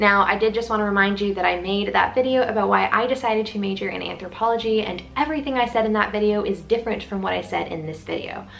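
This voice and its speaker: In a room with audible echo and noticeable background noise, a woman talks at a very fast pace with hardly any pauses. Her medium-pitched voice is animated, with ordinary pitch variation. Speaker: student vlogger. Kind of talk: casual vlog talk to camera.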